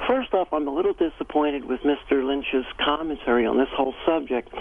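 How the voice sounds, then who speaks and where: Over noticeable background noise, a woman talks fairly quickly. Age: 40s. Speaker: caller. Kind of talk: call-in comment.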